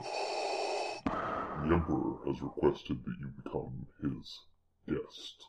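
This is a put-on character voice, kept quiet. It moves at a very slow pace. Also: man. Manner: quiet, menacing.

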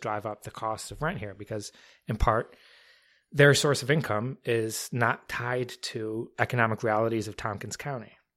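A man with a medium-pitched, ordinary speaking voice is heard on a very clean recording with a silent background. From New Jersey. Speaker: city mayor. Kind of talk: casual chat. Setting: home dining room used as studio.

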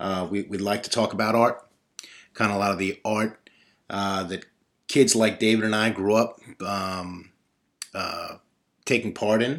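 A man in a New York accent, fairly low in pitch, at a fairly slow pace with long, frequent pauses and fairly even intonation. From Brooklyn, New York (Bay Ridge). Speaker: podcast host. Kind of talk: casual monologue; reading aloud.

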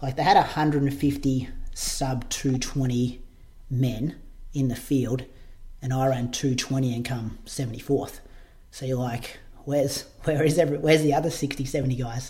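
This man talks at a very slow pace with an Australian accent. His tone is dark and mellow, somewhat breathy, with fairly even intonation. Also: medium pitch for a man. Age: 30s. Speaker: podcast host and marathon runner. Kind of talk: casual chat.

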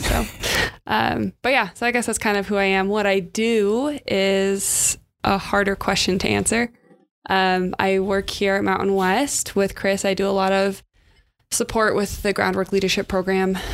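A woman with a West Coast American accent speaks at a moderate pace and medium pitch, her intonation fairly even and her loudness very even. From California. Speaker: community leadership worker. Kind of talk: casual chat. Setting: studio.

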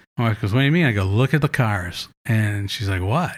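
A man with an American accent talks at a very fast pace in a medium pitch, somewhat breathy and with lively intonation, on a very clean recording with a silent background. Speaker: author. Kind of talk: casual chat. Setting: kitchen.

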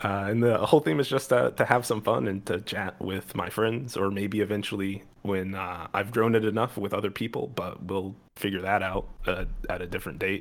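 With a normal speaking voice, a man talks at a moderate pace and a fairly low pitch with ordinary pitch variation. The recording is very clean and the background silent. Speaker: podcast host.

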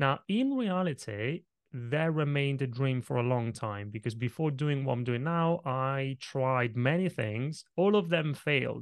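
A man's fairly high voice, ordinary pitch variation, hardly any pauses, quiet background. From Italy. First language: Italian. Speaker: presentation coach. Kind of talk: interview.

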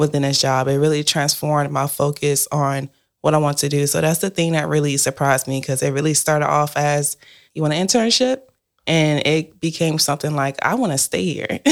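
A woman with an American accent and a very deep, low pitch talks at a fairly quick pace with ordinary pitch variation and very even loudness on a very clean recording with a silent background. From South Carolina. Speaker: college student, startup community manager. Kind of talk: interview.

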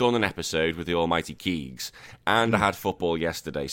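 In a very clean recording with a silent background, a man performs a put-on character voice that is hoarse and very deep and low, at a moderate pace.

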